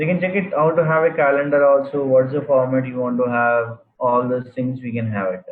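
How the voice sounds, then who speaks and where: A man's voice sits at a medium pitch, moving at a moderate pace with ordinary pitch variation. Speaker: programming instructor. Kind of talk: live online class.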